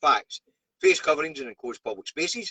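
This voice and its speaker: A man with a Scottish accent talks fairly quickly, and the sound is dry and close, with no echo. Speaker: truck driver and live streamer. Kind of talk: live stream news review. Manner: casual, chatty.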